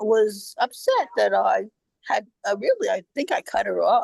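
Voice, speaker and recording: Speech comes at a very slow pace, with a dry, close sound and no echo. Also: woman. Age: 80s+. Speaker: workshop participant. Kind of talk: group sharing. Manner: halting.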